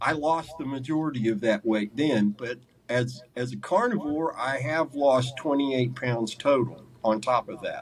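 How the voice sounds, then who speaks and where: A plain, everyday voice at a fairly slow pace, with ordinary pitch variation and hardly any pauses. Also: man, medium pitch for a man. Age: 60s. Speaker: carnivore diet coach and former mental illness sufferer. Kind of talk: interview testimony. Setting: sit-down interview.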